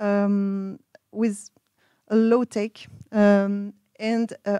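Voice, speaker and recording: A woman's dark, mellow tone with a dry, close sound and no echo. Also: very clean recording, silent background. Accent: French. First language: French. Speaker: researcher. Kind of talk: conference presentation. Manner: halting.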